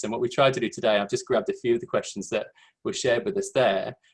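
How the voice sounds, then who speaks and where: A man with an English accent. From England, London. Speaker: education administrator. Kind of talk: webinar presentation. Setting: video call.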